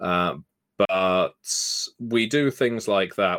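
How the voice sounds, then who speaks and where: A man with a British accent, in a very clean recording with a silent background. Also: dry, close sound with no echo. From UK. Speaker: tabletop game designer. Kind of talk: podcast interview.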